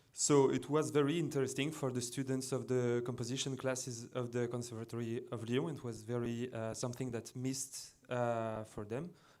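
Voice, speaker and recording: A man talks at a medium pitch with fairly even intonation. Audible room echo is heard. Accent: French. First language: French. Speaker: computer music designer and composer. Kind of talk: conference presentation. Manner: halting.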